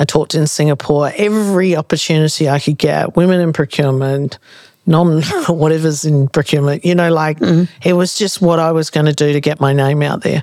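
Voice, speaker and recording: Speaking in an Australian accent, a woman has a very deep, low pitch and fairly even intonation. Her pace is fairly quick and her loudness very even. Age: 50s. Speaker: consultancy CEO and podcast host. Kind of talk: casual interview chat.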